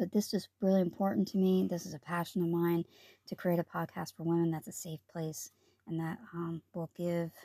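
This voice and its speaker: Her voice is fairly low for a woman, dark and mellow, somewhat breathy and flat in a monotone, delivered at a moderate pace in a dry, close sound with no echo. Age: 50s. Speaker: podcast host. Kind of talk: solo health podcast monologue.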